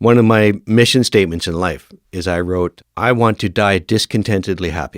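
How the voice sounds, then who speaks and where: In a Canadian accent, a man with an unremarkable speaking voice talks at a moderate pace and fairly low pitch with ordinary pitch variation, dry and close with no echo on a very clean recording with a silent background. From Northern Ontario, Canada. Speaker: firefighter and fire academy instructor. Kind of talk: podcast interview.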